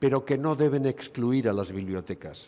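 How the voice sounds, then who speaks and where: The speaker has a Basque accent and a fairly slow pace. The intonation is lively. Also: man. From Basque Country, Spain. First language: Basque (speaking Spanish). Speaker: gynecologist, conference speaker. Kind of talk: medical conference lecture.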